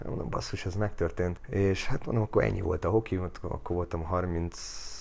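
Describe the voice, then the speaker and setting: A man's very deep, low voice holds fairly even intonation as he goes at a moderate pace. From Hungary, Budapest area. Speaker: ice hockey coach. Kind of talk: casual interview.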